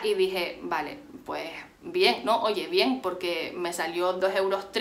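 The woman talks fairly slowly. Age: 20s. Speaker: beauty and fashion youtuber; fashion youtuber. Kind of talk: haul video monologue. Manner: animated. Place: home room. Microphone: phone near.

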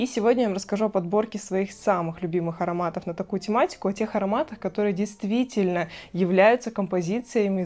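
Her voice has a dark, mellow tone, and the woman talks at a fairly quick pace with ordinary pitch variation. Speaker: perfume blogger. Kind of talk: product review vlog. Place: home room. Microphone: lapel.

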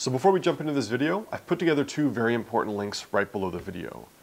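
Speaking at a very fast pace, a man delivers his lines. The intonation he uses is lively. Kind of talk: educational vlog talk. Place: home room. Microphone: lapel.

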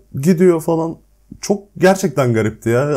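With a dark, mellow tone, a man speaks at a moderate pace in a very clean recording with a silent background. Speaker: YouTuber. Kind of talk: casual chat. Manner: speaking while eating.

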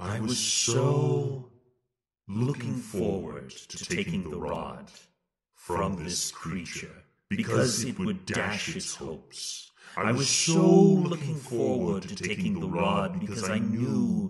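Very wide pitch swings run through a man's put-on character voice at a fairly slow pace. There is a slight echo. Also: medium pitch for a man. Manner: horrifying.

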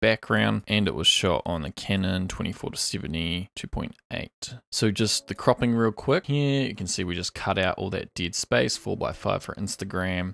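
Pitched fairly low, a man speaks at a fairly slow pace with vocal fry and lively intonation, in a dry sound with no echo. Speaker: photo editing instructor. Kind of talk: tutorial. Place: home room. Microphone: studio mic.

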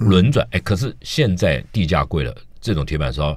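A man's voice carries vocal fry in a dry recording with no echo. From Taiwan. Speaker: food critic; radio guest. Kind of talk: casual chat. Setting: studio. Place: studio.

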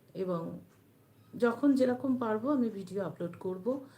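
A woman's medium-pitched voice comes through somewhat breathy, in a dark, mellow tone. Her intonation stays fairly even. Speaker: devotional YouTube channel host. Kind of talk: live-stream talk on religious teachings.

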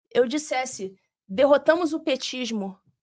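A woman speaks with a Rio de Janeiro accent and very wide pitch swings. The background is quiet. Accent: carioca. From Rio de Janeiro, Brazil. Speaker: former judge; podcast guest. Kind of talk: interview. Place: studio. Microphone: studio mic.

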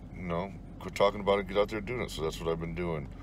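A man speaks at a very fast pace. The sound is dry with no echo, and background noise is noticeable. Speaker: urban explorer vlogger. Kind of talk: casual vlog chat. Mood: reflective, slightly wistful. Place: car. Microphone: phone near.

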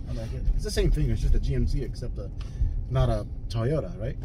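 A man speaks at a fairly quick pace. The sound is dry with no echo, though noticeable background noise comes through. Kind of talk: casual conversation. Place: car. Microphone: camera far.

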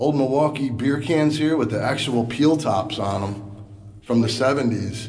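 The man speaks at a moderate pace with ordinary pitch variation. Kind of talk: casual exploration commentary. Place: tunnel cave. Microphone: phone near.

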